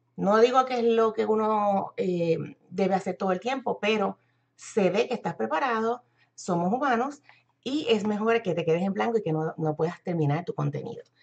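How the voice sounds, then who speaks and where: The speaker has a Puerto Rican accent and uses ordinary pitch variation. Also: woman, medium pitch for a woman, moderate pace. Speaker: internet marketer and business coach. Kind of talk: live-stream tutorial. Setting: live video stream.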